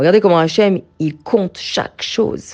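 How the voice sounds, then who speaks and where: A woman speaks at a medium pitch and a moderate pace, her intonation lively. Her tone is animated, and the background is quiet. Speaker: Torah teacher for women. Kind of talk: religious lecture.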